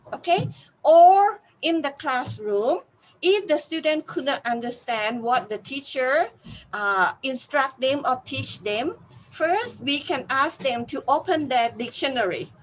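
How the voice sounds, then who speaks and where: A woman with a Thai accent, very slow pace and lively intonation. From Thailand. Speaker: university teacher. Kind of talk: interview. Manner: halting.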